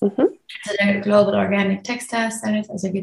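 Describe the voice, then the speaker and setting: Somewhat breathy and medium in pitch, a woman talks at a moderate pace with monotone, flat intonation. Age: 30s. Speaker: sustainable fashion consultant and activist. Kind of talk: interview.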